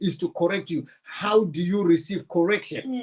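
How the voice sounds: Using a high pitch, a man talks with a Zimbabwean accent.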